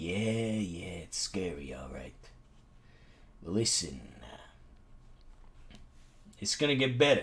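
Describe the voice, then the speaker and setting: A man speaks in a raspy, put-on character voice of fairly low pitch. His pace is very slow, broken by long, frequent pauses. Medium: solo performance. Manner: gruff, world-weary.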